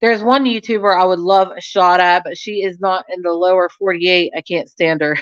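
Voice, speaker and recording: A woman with an American accent speaks at a medium pitch in an animated tone. Her pace is fairly quick, with hardly any pauses. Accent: slight country-ish. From rural Ohio. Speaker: YouTuber. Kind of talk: casual live stream chat.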